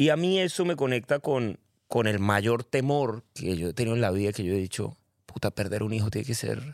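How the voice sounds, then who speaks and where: A man with a plain, everyday voice talks at a moderate pace in a medium pitch with lively intonation, the sound dry and close with no echo on a very clean recording with a silent background. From Colombia, Cali. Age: 40s. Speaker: personal development facilitator. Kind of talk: casual chat.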